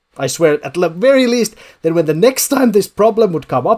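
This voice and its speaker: This man speaks at a moderate pace with a non-native accent. His voice sits high for a man and swings very widely in pitch. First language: not English. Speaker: gaming YouTuber. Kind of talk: casual commentary video.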